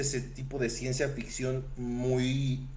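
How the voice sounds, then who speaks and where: With a Mexican accent and a fairly high pitch, a man speaks amid audible room echo and noticeable background noise. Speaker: podcast co-host. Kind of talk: casual chat.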